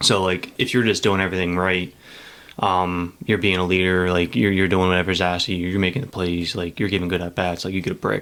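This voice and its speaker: A man mumbles at a very fast pace. His very deep, low voice stays monotone and flat. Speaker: high school baseball coach and teacher. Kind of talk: casual podcast interview. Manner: mumbles a lot; casual, filler-heavy speech.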